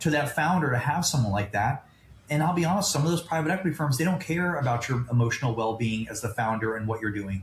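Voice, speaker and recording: A man of medium pitch, somewhat breathy, with lively intonation. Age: 50s. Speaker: private equity founder and investor. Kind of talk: podcast interview. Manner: animated.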